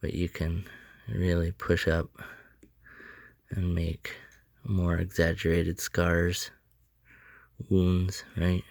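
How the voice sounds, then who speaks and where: A man with a Canadian accent speaks at a very deep, low pitch. His intonation is flat and monotone, on a very clean recording with a silent background. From Canada. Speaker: sculptor. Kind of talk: tutorial. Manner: casual.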